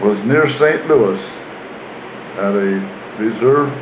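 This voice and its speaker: A man speaks amid audible room echo and noticeable background noise. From US Midwest, Iowa. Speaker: war veteran. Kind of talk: interview.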